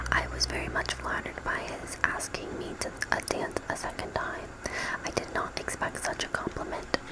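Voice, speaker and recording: A whisper at a moderate pace, with noticeable background noise. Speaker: ASMR creator. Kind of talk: novel reading. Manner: whispered.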